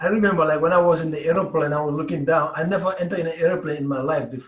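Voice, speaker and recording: Very fast speech in a West African accent, with fairly even intonation. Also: man, fairly high pitch for a man. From Gambia. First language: Mandinka. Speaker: pro basketball player. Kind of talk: interview.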